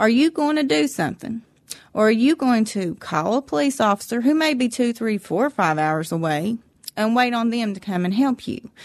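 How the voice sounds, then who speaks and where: Over a quiet background, a woman speaks in an Appalachian accent at a moderate pace. Her pitch is fairly high and swings very widely. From West Virginia, McDowell County. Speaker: Appalachian resident sharing her experience. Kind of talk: interview, personal testimony.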